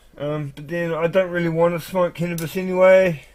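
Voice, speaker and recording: Here a man speaks at a moderate pace with a high pitch. His intonation is monotone and flat. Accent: New Zealand. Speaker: live streamer. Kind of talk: casual monologue. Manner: halting.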